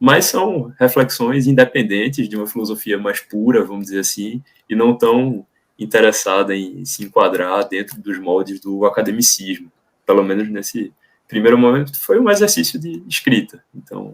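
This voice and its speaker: At a moderate pace and medium pitch, a man speaks with ordinary pitch variation and big swings in loudness. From Brazil, Recife (Pernambuco). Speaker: philosophy PhD student. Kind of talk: academic discussion. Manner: halting, with self-corrections.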